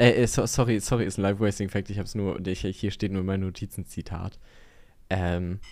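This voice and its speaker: A man's fairly low voice with fairly even intonation, at a moderate pace with long, frequent pauses. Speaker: podcast co-host. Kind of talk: casual chat. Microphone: new microphone.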